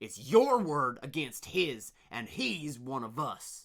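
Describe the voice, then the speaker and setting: Lively intonation runs through this put-on character voice. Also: man, fairly high pitch for a man, fairly slow pace. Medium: read story. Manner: stern, gruff.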